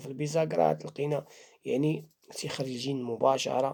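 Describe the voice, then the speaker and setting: A man speaks at a moderate pace with a Moroccan accent, his pitch fairly high and his intonation fairly even. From Morocco. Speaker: Islamic faith healer. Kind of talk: religious talk to camera.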